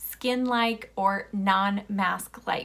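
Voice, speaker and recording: The speaker is a woman with a medium pitch. Her voice sounds bright and sharp. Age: 40s. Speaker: beauty vlogger. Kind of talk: product review tutorial. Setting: home video recording. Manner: animated. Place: home room.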